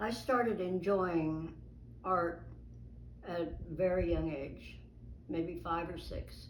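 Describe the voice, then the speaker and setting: The speech goes at a very slow pace. Long pauses come often. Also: woman. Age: 80s+. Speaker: illustrator. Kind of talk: interview answer.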